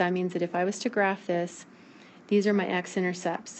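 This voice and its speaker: This woman speaks at a medium pitch in a flat, monotone way. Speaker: math teacher. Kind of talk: recorded video lesson. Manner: fast.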